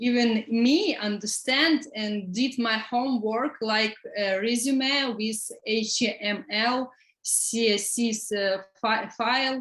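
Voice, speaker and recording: Very slow speech from a woman with an Eastern European accent, fairly high in pitch, with fairly even intonation. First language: Russian or Ukrainian. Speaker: student. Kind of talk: testimony. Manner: halting.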